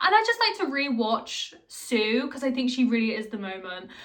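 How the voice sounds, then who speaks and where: Background noise is noticeable. A woman speaks at a fairly high pitch. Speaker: video essayist. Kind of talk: casual commentary. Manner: animated.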